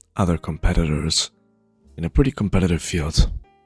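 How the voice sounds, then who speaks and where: A man with a very deep, low pitch speaks in a dry, close sound with no echo, with music in the background. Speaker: League of Legends coach. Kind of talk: tutorial talk to viewers.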